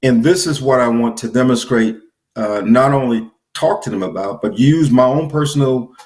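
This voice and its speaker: The clip features a normal speaking voice. Its pitch variation is ordinary. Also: man. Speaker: business trainer. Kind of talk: interview.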